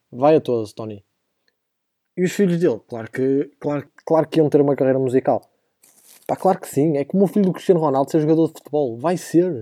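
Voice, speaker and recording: With a European Portuguese accent, a man with a fairly high pitch and a dark, mellow tone talks at a fairly quick pace with ordinary pitch variation, in a dry, close sound with no echo. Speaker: podcast host, university student. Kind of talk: casual comedic monologue. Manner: animated.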